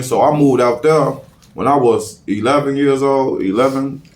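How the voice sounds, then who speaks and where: A man with a medium pitch and fairly even intonation talks amid audible room echo. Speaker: rapper. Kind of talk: casual interview.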